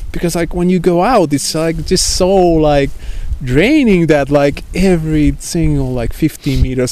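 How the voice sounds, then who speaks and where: Against noticeable background noise, a man with a Finnish accent speaks at a fairly slow pace. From Finland, Lapland. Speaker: traveler. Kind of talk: casual chat. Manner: halting.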